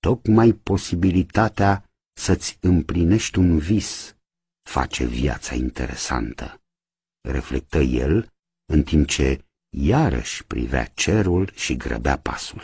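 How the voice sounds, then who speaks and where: Over a quiet background, a man with a very deep, low pitch and vocal fry speaks at a very slow pace with very wide pitch swings, the sound dry with no echo. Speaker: radio theatre reader. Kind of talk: audiobook narration of a novel. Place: studio.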